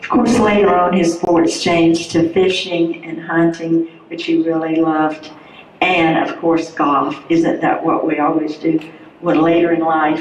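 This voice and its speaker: A woman with a fairly low pitch talks at a fairly slow pace and with fairly even intonation, over noticeable background noise and audible room echo. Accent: North Carolina. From North Carolina. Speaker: widow of hall of fame inductee. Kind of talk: tribute speech.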